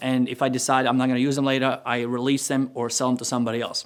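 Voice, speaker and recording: A man talks with a non-native accent. His pitch sits fairly high. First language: not English. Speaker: entrepreneur and course creator. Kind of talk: tutorial. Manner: casual, conversational.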